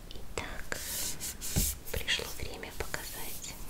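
A woman at a very slow pace. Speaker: ASMR content creator. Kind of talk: ASMR show-and-tell of purchases, whispered.

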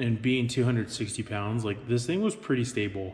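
Somewhat breathy in tone, the man shows ordinary pitch variation. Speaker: kayak owner reviewing gear. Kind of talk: casual vlog chat. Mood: upbeat, positive. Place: garage. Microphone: phone near.

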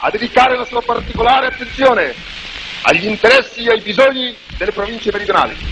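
Over noticeable background noise, a man speaks at an extremely high pitch. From Italy. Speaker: political leader giving a public speech. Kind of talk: political speech to a crowd. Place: street. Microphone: podium.

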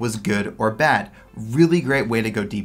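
Lively intonation marks this speech. The voice belongs to a man. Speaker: exam tutor. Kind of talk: tutorial.

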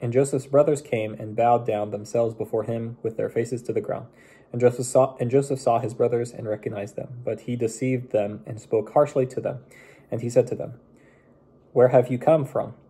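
A man talks at a fairly quick pace in a somewhat breathy voice with fairly even intonation. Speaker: bible reader. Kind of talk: scripture reading aloud. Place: home room. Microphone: phone near.

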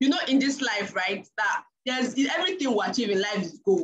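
A woman talks at a fairly quick pace with a high pitch and very wide pitch swings. Light background noise can be heard. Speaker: fitness coach leading an online session. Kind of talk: casual talk to a group. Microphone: video call.

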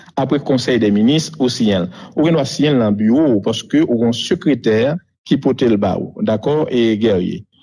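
A man with a dark, mellow tone speaks at a very slow pace with very wide pitch swings. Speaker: former prime minister. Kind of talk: interview. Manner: halting.

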